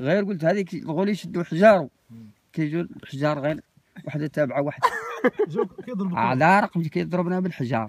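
The voice moves at a moderate pace with ordinary pitch variation and long, frequent pauses, in a dry sound with no echo. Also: man, fairly high pitch for a man. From M'hamid, Zagora, Morocco. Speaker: desert nomad, former caravan traveller. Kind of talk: oral storytelling. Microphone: phone near.

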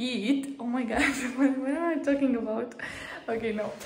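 In a room with audible echo and light background noise, a woman talks at a moderate pace with ordinary pitch variation. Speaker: vlogger. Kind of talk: casual vlog chat. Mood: playful, laughing. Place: kitchen. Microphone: phone near.

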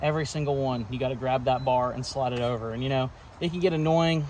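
A somewhat breathy man talks at a very fast pace. The sound is dry with no echo, and there is light background noise. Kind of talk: casual tour commentary. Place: garden. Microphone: phone near.

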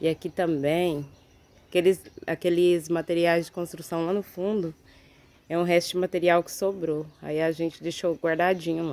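A woman talks at a moderate pace. Her pitch is fairly low and her intonation monotone and flat. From Brazil. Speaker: home video vlogger. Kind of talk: casual vlog tour. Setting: outdoors in backyard. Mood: warm, grateful. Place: garden. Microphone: phone near.

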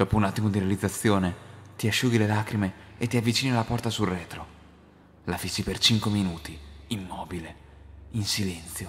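A man with a fairly low pitch and a somewhat breathy voice talks at a fairly quick pace. His intonation is fairly even, broken by long, frequent pauses. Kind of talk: scripted creepypasta narration in second person, told as a ghost story.

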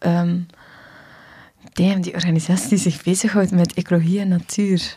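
Against a quiet background, a woman talks at a moderate pace in a flat monotone, her tone dark and mellow and somewhat breathy. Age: 30s. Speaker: dancer and dance workshop teacher; dance workshop teacher. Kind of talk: casual chat. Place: studio. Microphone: studio mic.

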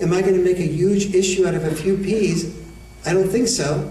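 Soft-spoken and fairly quick, a man talks in a high pitch with fairly even intonation. Audible room echo and light background noise are present. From United States. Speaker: educator, author and men's issues speaker. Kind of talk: lecture to an audience. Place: hall. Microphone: podium.

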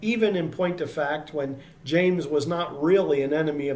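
A man speaks at a moderate pace, his pitch varying in an ordinary way. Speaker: Bible teacher. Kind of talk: sermon. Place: home room. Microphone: webcam.

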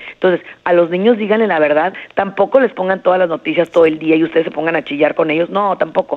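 Very fast delivery with ordinary pitch variation. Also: woman. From Jerez, Zacatecas, Mexico. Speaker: psychologist. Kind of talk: interview advice.

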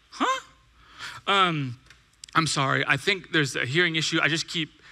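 A man talks at a fairly quick pace with an American accent. His tone is animated. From California, Bakersfield; California. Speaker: pastor. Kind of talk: sermon. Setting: church with audience. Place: church. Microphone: headset.

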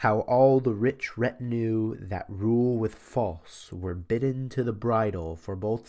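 The background stays quiet. A man speaks very slowly. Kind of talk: audiobook reading of a medieval poem. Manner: formal, measured, steady narration; reads aloud in a storytelling cadence, with some archaic phrasing.

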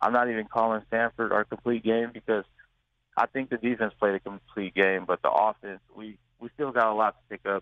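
At a fairly quick pace, a man talks at medium pitch in a monotone, flat intonation. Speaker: college football player. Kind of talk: radio interview. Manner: halting.

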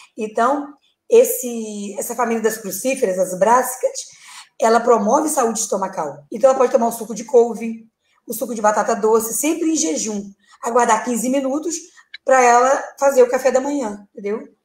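A woman speaks with a high pitch and ordinary pitch variation. There is audible echo from the room. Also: moderate pace. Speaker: guest. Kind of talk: interview answer. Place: home room.

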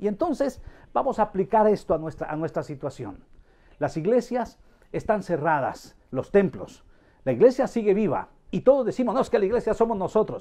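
With a dark, mellow tone and a high pitch, a man speaks at a moderate pace over a quiet background, his pitch swinging very widely. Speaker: pastor. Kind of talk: sermon. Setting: live stream. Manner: informal. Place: home room.

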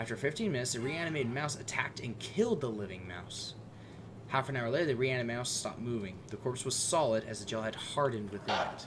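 Very fast, lively speech from a man over noticeable background noise. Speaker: gaming video creator. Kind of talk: let's play commentary. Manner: animated. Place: home room.

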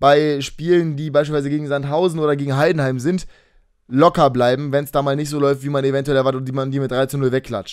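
Against a quiet background, a man with fairly high pitch speaks at a fairly quick pace. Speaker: gaming YouTuber. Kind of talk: casual monologue video. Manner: fast. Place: home room. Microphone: webcam.

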